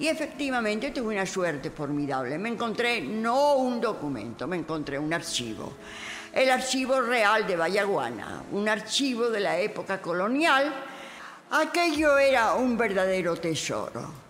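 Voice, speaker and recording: A woman speaks at a fairly slow pace with a fairly high pitch and very wide pitch swings. The recording has noticeable background noise and audible room echo. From Spain, Castile (Segovia, Madrid). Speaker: writer and historian. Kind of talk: autobiographical testimony.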